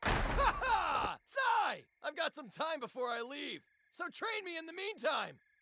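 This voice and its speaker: A man puts on a character voice at an extremely high pitch. It swings very widely in pitch at a fairly slow pace. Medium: game stream. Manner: boisterous, commanding.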